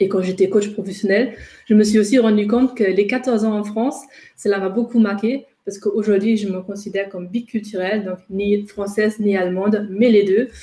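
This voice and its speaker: A woman with a slight German accent speaks at a fairly quick pace and a medium pitch, her intonation monotone and flat. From Germany, Ruhr region. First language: German (speaking French). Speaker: intercultural trainer and coach. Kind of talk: webinar presentation. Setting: online webinar. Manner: hesitant, many fillers.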